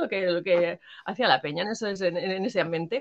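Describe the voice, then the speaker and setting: A woman is speaking. Her tone is bright and sharp. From Madrid, Spain. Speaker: former rapper. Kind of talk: interview. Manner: halting.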